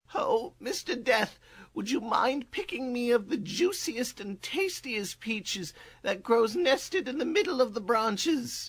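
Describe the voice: A man puts on a cartoonish character voice at an extremely high pitch, with very wide pitch swings and a moderate pace.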